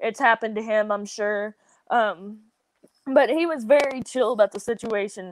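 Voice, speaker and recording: This woman has a fairly high voice and speaks with a Southern US accent. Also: ordinary pitch variation, moderate pace, very clean recording, silent background. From US South. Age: 20s. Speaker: professional wrestler. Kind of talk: podcast interview.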